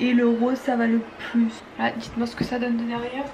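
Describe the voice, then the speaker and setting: A woman with a high-pitched voice speaks over noticeable background noise. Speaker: beauty and lifestyle vlogger. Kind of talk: casual vlog tutorial. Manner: casual, hesitant with frequent fillers.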